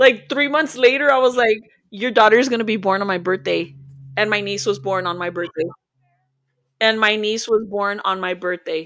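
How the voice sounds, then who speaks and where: Average pitch movement, an unhurried yet not slow delivery, and a normal speaking voice. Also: woman, fairly high pitch for a woman. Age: 40s. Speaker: tarot reader and spiritual healer. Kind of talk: casual chat.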